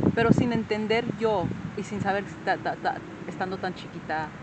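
A woman at a fairly slow pace, over loud background noise. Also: dry sound with no echo. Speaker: vlogger remembering her father. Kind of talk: casual personal talk to camera. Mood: reflective, emotional storytelling. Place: open country. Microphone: phone near.

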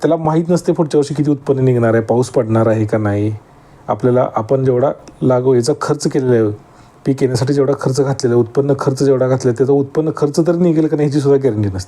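A man's medium-pitched voice, an unremarkable speaking voice, with ordinary pitch variation. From Maharashtra, Sangli district (Atpadi). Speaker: farmer YouTuber. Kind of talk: casual vlog talk to camera.

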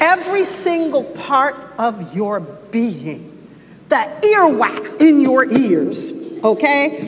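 A woman speaks very slowly at a high pitch with a warm tone. Her pitch swings very widely over light background noise. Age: 60s. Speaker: church elder and Bible teacher; Bible teacher. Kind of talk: expository Bible teaching sermon to a congregation, conversational and exhortative. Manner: warm, conversational preaching with rising emphatic exhortation. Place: church.

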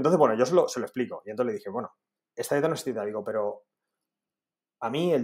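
A man is speaking. Behind him the background is quiet. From Spain, Alicante area; Spain. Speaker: dietitian; podcast guest. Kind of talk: interview. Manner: halting, frequent repetitions. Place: home room. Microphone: earbuds.

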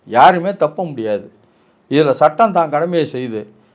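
A man's fairly high voice with lively intonation, a normal speaking voice, very clean recording and a silent background. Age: 50s. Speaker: lawyer and political commentator. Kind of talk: political interview. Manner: assertive.

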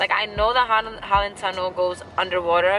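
Music plays behind a woman speaking at a fairly quick pace. Her intonation is fairly even, and the sound is dry with no echo. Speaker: vlogger. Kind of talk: casual vlog chat. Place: car. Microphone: phone near.

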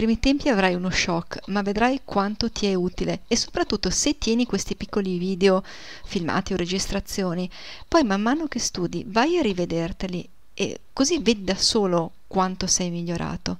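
Recorded very cleanly against a silent background, a woman talks in an ordinary speaking voice at a medium pitch and moderate pace, with ordinary pitch variation. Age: 40s. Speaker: German language teacher. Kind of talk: video lesson.

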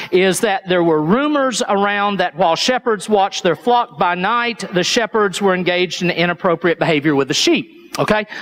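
Moderate pace and ordinary pitch variation in an Appalachian accent. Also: man. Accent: Appalachian Southern US. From East Tennessee, US Appalachia. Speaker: pastor. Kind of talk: sermon. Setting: church. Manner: halting, frequent repetitions. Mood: conversational, storytelling, light humor. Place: church.

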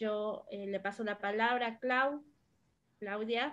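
In an Argentine accent, a woman with a fairly high pitch talks very slowly and with fairly even intonation against a quiet background. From Argentina. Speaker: moderator, popular educator. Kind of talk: moderated panel. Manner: halting, many fillers. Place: home room. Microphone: video call.

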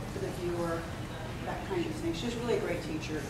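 The recording carries audible room echo along with loud background noise. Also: woman. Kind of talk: announcements to an audience. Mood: friendly, light. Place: hall. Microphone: camera far.

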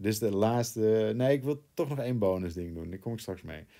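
In a very clean recording with a silent background, a man's dark, mellow tone carries ordinary pitch variation. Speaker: crypto trading YouTuber. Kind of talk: chart analysis tutorial.

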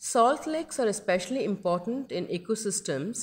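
A normal speaking voice at a moderate pace with lively intonation, in a very clean recording with a silent background. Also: woman. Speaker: wildlife documentary narrator. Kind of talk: scripted nature documentary narration, dramatic and reverential. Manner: measured, storytelling pace with awed, hushed reverence.

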